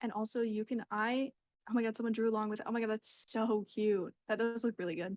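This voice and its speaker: At a fairly quick pace, a woman speaks with a dry, close sound and no echo. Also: fairly high pitch for a woman. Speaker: art teacher. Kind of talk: online workshop lecture. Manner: fast; casual, filler-heavy.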